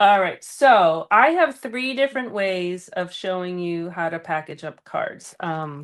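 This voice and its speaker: A woman with an American accent speaks at a fairly slow pace and medium pitch, with lively intonation and big swings in loudness. She hardly pauses at all, and the background is quiet. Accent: Boston accent, comes out when tired. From Boston area, Massachusetts. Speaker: card-making teacher, stream co-host. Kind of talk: live crafting class. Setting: live stream.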